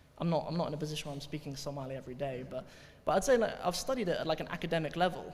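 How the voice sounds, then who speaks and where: Words come out at a very fast pace. Some breathiness runs through the voice. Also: man. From Cornwall, England. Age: 20s. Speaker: Arabic teacher, convert telling his story. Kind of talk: talk to audience, Q&A. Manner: hesitant, repeats words.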